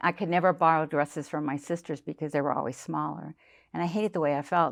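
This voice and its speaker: Vocal fry marks this woman's speech. Her pitch sits very deep and low. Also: quiet background. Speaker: boot camp member, older fitness client. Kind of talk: interview. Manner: halting.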